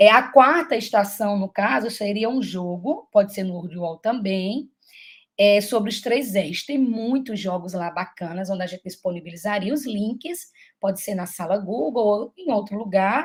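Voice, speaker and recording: A somewhat breathy voice at a fairly slow pace, with lively intonation and big swings in loudness. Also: woman, medium pitch for a woman. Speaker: teacher giving a mentoring session. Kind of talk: online teacher training presentation.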